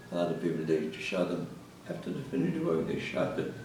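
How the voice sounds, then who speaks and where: Amid noticeable background noise and audible room echo, a man with a very deep, low pitch talks at a fairly quick pace. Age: 80s+. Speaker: Holocaust survivor. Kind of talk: testimony. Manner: halting.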